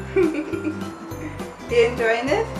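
A woman speaks over loud background music. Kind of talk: casual vlog chat. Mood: playful, cheerful. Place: home room. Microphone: camera far.

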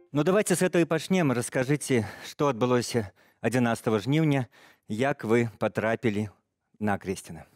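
Male speech at a moderate pace, broken by long, frequent pauses, in a dry sound with no echo and faint music in the background. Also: lively intonation, very even loudness. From Belarus. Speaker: TV news interviewer. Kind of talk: interview. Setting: studio. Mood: serious, calm. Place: studio. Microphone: headset.

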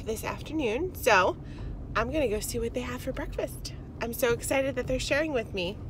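In a dry recording with no echo and light background noise, a woman speaks at a high pitch with ordinary pitch variation. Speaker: vlogger. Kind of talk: casual vlog chat. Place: car. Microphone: phone near.

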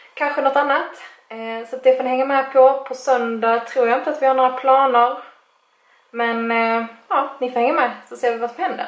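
At a moderate pace and with fairly even intonation, the speech carries audible room echo. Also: woman, high pitch for a woman. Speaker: vlogger. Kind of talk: casual vlog chat. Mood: relaxed, playful. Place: home room. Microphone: phone near.

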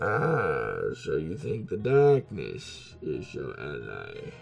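A man puts on a character voice and speaks at a very slow pace while clear music plays behind him.

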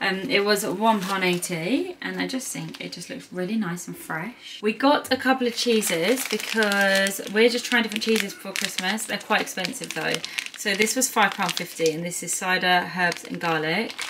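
A woman talks at a moderate pace with ordinary pitch variation and hardly any pauses. Her loudness swings widely, and there is noticeable background noise. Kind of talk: casual vlog chat. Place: kitchen. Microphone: phone near.

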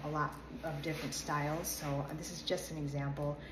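Amid noticeable background noise, a woman speaks at a very deep, low pitch in a monotone, flat intonation. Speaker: modeling coach. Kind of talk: tutorial. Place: home room. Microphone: phone near.

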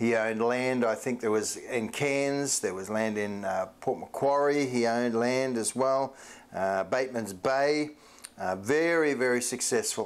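A man talking at a fairly slow pace, with ordinary pitch variation. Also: medium pitch for a man.

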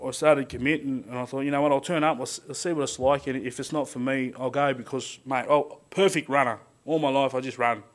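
Speaking with an Australian accent and hardly any pauses, a man keeps his fairly high pitch on fairly even intonation. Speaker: power line worker. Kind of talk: speech. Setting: stage with audience. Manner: halting. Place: hall. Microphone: podium.

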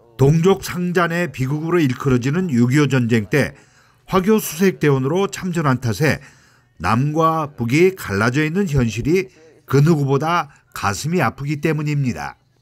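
With an unremarkable speaking voice, a man speaks fairly slowly at a fairly high pitch, using lively intonation and very even loudness. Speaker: former journalist. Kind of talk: news report narration.

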